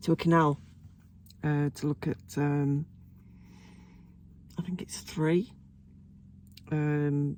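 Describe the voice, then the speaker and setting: With an English accent, a woman speaks in a very deep, low voice with a dark, mellow tone. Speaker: vlogger. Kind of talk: casual chat. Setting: in a car. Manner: hesitant, many ums.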